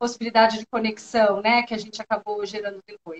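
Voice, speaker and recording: The speaker is a woman. She talks with a São Paulo accent. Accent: São Paulo (paulista). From São Paulo state, Brazil. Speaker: university professor. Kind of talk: interview.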